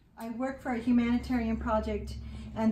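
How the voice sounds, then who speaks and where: Over light background noise and audible room echo, a woman with an American accent speaks at a moderate pace. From Indiana. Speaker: artist and art teacher; art teacher. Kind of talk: casual artist studio tour. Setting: home studio. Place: home room. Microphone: phone near.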